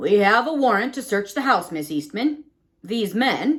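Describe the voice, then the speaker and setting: A female-sounding, put-on character voice with fairly high pitch. The pace is moderate. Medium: read story. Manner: apologetic, plainspoken.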